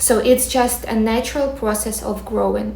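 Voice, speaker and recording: A woman with a Ukrainian accent and a fairly high pitch, amid audible room echo and noticeable background noise. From Ukraine. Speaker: manifestation coach, content creator. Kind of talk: personal story and advice monologue to camera.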